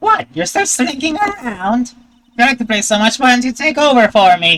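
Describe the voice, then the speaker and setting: A female-sounding voice does a put-on character voice at a high pitch and a moderate pace. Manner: scolding, sarcastic.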